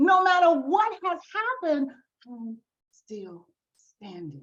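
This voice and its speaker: A woman is speaking. Her pace is very slow. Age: 60s. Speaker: author and speaker. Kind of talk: motivational testimony. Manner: animated.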